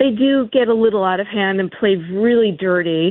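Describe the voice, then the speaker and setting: An American accent at a moderate pace, with lively intonation. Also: woman. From New York. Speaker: caller, former police officer. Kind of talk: heated debate. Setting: phone call.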